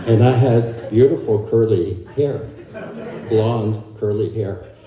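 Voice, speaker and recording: The man's intonation is fairly even. Noticeable background noise and audible room echo come through. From Germany. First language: German. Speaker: family member. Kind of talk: eulogy. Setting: memorial service. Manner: halting.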